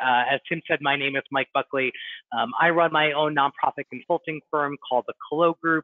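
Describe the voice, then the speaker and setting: With a plain, everyday voice, a man speaks at a fairly high pitch and a fairly quick pace, with ordinary pitch variation. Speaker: nonprofit fundraising consultant. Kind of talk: webinar presentation. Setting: online webinar.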